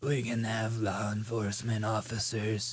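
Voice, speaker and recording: Putting on a character voice, a man speaks in a raspy, monotone, flat way at a medium pitch and a moderate pace. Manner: mock-sad, serious.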